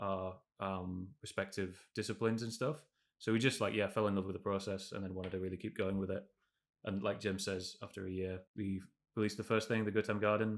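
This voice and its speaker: With a northern English accent, a man speaks at a fairly quick pace in a fairly low pitch, on a very clean recording with a silent background. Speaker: game developer. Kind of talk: interview. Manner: casual, halting with fillers.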